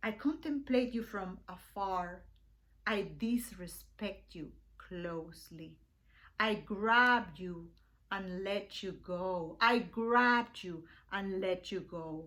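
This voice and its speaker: Her medium-pitched voice has a bright, sharp tone and ordinary pitch variation, and this woman talks at a very slow pace with big swings in loudness. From Venezuela. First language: Spanish. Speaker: poet. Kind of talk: poetry reading.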